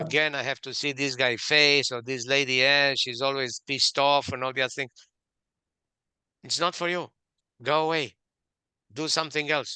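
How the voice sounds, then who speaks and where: Against a quiet background, a man with a Romanian accent speaks in a bright, sharp tone at a moderate pace, with fairly even intonation, long, frequent pauses, and a dry, close sound with no echo. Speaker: author and management expert. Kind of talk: interview.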